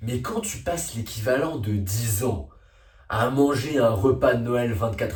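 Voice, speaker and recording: A man speaks in an animated tone at a fairly slow pace. Music plays in the background, and room echo is audible. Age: young. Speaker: youtuber. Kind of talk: comedic monologue. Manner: loud.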